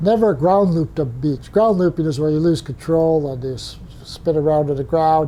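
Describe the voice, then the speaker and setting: A man with an American accent talks at a fairly high pitch. His pitch variation is ordinary, and background noise is noticeable. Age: 80s+. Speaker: retired pilot and flight instructor. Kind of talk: interview storytelling. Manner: halting, frequent fillers.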